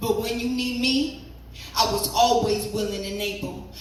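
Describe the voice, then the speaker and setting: Amid noticeable background noise, a fairly high-pitched woman speaks at a fairly slow pace. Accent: American. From Virginia. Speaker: spoken word poet. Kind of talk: live poetry reading.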